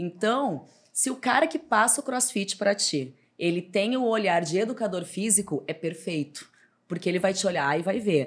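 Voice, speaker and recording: A woman speaks at a medium pitch, her voice making very wide pitch swings. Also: moderate pace. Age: 30s. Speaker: personal trainer and gym owner. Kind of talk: casual interview.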